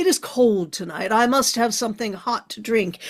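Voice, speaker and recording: A raspy, put-on character voice moves along at a moderate pace. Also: female-sounding voice, fairly high pitch for a woman. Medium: solo performance. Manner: commanding.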